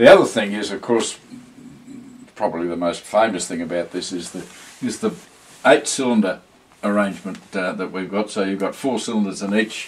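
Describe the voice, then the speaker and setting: Speaking at a fairly low pitch with ordinary pitch variation, a man leaves long, frequent pauses and shows big swings in loudness. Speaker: interviewer. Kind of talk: interview questions.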